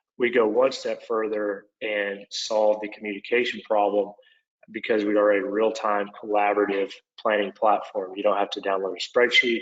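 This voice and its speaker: The speaker has an Oklahoma accent and a moderate pace. Loudness swings widely from moment to moment. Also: man. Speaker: construction software product manager. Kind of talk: webinar presentation. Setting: online webinar.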